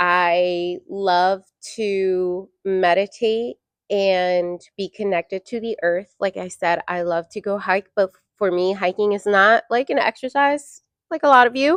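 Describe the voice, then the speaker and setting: A woman in an ordinary speaking voice, medium pitch, ordinary pitch variation and a fairly slow pace, with a dry, close sound with no echo and a quiet background. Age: 30s. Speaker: podcast co-host. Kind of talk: casual chat. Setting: studio.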